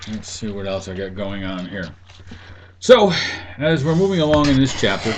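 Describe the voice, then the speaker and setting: Amid noticeable background noise and audible room echo, a man at a fairly low pitch speaks at a moderate pace with very wide pitch swings and long, frequent pauses. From New England. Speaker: university instructor. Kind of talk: lecture. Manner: casual, halting with fillers.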